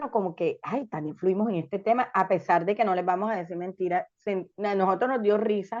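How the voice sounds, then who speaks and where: A woman with a normal speaking voice talks at medium pitch and a moderate pace. Her pitch variation is ordinary. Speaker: podcast co-host. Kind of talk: casual chat.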